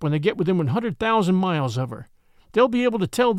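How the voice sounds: Lively intonation in a natural reading voice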